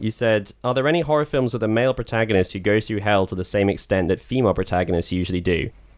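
A man's very fast, fairly low-pitched speech with ordinary pitch variation. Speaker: film podcast host. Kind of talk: casual chat.

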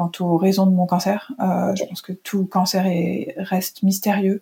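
The voice moves at a very slow pace with fairly even intonation. Its tone is dark and mellow, somewhat breathy. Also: woman. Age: 40s. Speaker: journalist. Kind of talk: interview conversation. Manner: halting, many hesitations.

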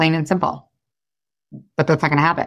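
A woman's animated tone. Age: 30s. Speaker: life and weight loss coach. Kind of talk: casual chat; sales pitch.

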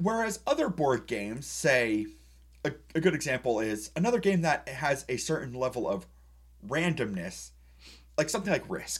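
Very clean recording, silent background, of a man with a fairly high pitch and vocal fry, very wide pitch swings, moderate pace and long, frequent pauses. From New England. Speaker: board game podcast co-host. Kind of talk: casual chat.

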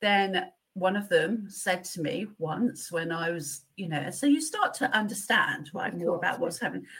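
Speaking at a moderate pace, a woman with medium pitch talks in an English accent. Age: 50s. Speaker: pharmaceutical company manager. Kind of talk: interview.

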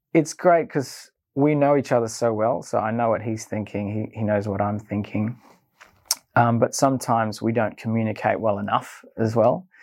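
Using a medium pitch, a man talks at a moderate pace. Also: ordinary pitch variation. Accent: Australian. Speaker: filmmaker. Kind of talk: personal storytelling monologue.

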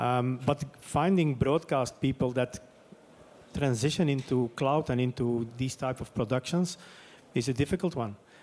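A man with a Dutch accent, medium pitch, ordinary pitch variation and a moderate pace. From Flemish Belgium. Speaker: sports media executive. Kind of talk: panel discussion. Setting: stage with audience.

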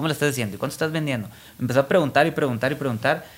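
A man speaks with fairly even intonation. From Mexico, Culiacán, Sinaloa. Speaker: fashion designer. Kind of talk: interview.

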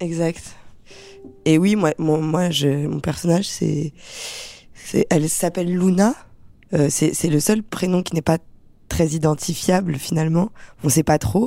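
The voice has a dark, mellow tone with ordinary pitch variation. It moves at a very slow pace, with long, frequent pauses. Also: woman, fairly low pitch for a woman. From Paris suburbs, Seine-Saint-Denis (France). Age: 20s. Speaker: actress. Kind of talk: interview.

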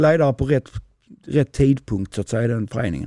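A man talks in a dark, mellow tone. The sound is dry and close, with no echo. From southern Sweden, Skåne. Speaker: handball coach. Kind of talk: interview. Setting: in-person recording in Lund.

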